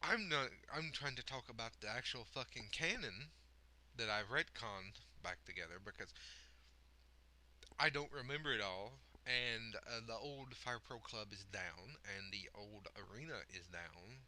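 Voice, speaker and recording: The man's tone is bright and sharp. He speaks at a medium pitch and a fairly slow pace. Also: ordinary pitch variation. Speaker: gaming video creator. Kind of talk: casual solo podcast monologue. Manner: rambling, many fillers and hesitations.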